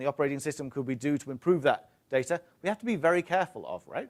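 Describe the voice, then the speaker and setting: A man with a British accent at a very fast pace, ordinary pitch variation, in a very clean recording with a silent background. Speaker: tech industry presenter. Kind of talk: conference talk. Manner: hesitant, many fillers.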